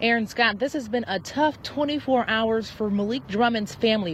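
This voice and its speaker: With an American accent and a plain, everyday voice, a woman speaks in a fairly high pitch. Her intonation is lively and her pace moderate. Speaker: TV news reporter and fill-in anchor. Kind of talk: TV news reporter and anchor delivery. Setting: live field report on location.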